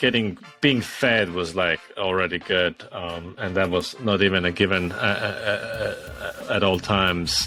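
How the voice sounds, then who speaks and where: A man speaks with an Estonian accent. Music plays in the background. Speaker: startup founder. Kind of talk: interview. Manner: many fillers and repetitions.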